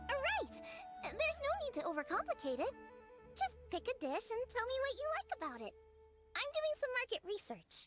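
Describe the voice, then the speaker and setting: A woman's put-on character voice at an extremely high pitch, moderate pace, faint music in the background. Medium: machinima. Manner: bubbly, energetic.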